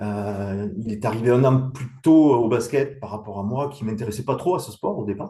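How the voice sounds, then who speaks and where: A man's dark, mellow, somewhat breathy voice at medium pitch, with ordinary pitch variation, moderate pace and hardly any pauses. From southwest France (Montauban, Tarn-et-Garonne). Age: 50s. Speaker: professional basketball referee. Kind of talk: interview. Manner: hesitant, many fillers.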